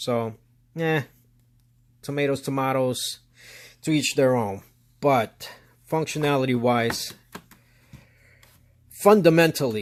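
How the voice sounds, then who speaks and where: With long, frequent pauses, a man speaks very slowly at a medium pitch and ordinary pitch variation. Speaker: DJ and product reviewer. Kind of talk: product review. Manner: casual, filler-heavy.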